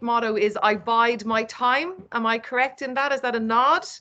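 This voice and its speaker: In an Irish accent, the voice sounds bright and sharp, with ordinary variation in pitch. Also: woman. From Ireland, East Cork. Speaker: event host. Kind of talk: online event presentation. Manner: animated.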